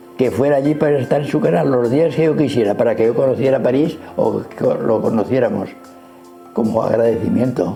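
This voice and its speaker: A man speaks at a fairly quick pace. Music can be heard behind him. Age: 80s+. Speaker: retired pediatrician. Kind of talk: interview answer. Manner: friendly.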